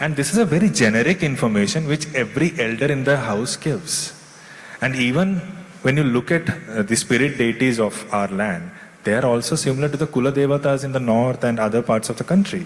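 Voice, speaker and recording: Over noticeable background noise, a man talks fairly quickly at a medium pitch with lively intonation. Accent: Indian. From India, Kerala, raised in Delhi. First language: Tulu. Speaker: author and screenwriter. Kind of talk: literature festival interview.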